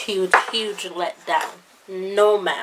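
Very slow speech from a woman, set against noticeable background noise. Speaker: beauty vlogger. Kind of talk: casual product review. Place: home room. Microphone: phone near.

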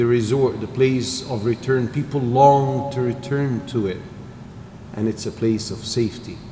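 In a room with audible echo and light background noise, a man speaks fairly slowly with fairly even intonation. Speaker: religious teacher. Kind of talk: lecture. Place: church. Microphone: podium.

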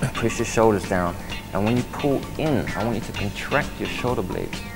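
Over clear music in the background, the speaker goes at a very fast pace with ordinary pitch variation. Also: man. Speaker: personal trainer. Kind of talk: exercise instruction. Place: gym.

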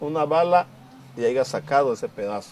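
A man speaks at a moderate pace with very wide swings in pitch. Light background noise is audible. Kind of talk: documentary interview. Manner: halting. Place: home room. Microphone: lapel.

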